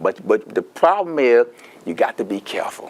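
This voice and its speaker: This is a man talking. He has a Louisiana accent. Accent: Louisiana Southern US. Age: 70s. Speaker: Medicare counselor presenting a seminar. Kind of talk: seminar talk. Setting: seminar room with audience. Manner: animated.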